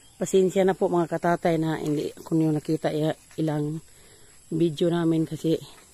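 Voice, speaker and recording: A man with a high pitch and a dark, mellow tone talks at a moderate pace in a flat monotone, the sound dry and close with no echo. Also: long, frequent pauses. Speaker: farm vlogger. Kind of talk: vlog narration. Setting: outdoors on farm.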